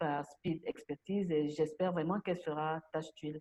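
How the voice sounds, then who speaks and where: A woman speaks at a moderate pace with a dark, mellow tone. Her intonation stays fairly even, and the sound is dry and close with no echo. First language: Bulu (speaking French). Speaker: president of a translators' association. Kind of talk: interview.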